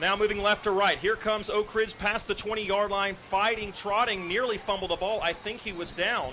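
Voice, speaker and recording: A man talks in a raised, projected voice at a high pitch, with monotone, flat intonation. He keeps a fairly quick pace with hardly any pauses against noticeable background noise. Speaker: radio play-by-play announcer. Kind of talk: live sports commentary. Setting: radio broadcast booth. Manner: loud.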